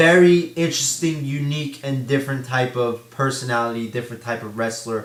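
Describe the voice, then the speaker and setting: Moderately paced speech from a man at a medium pitch, over noticeable background noise. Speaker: wrestling commentary vlogger. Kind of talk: casual talk to camera.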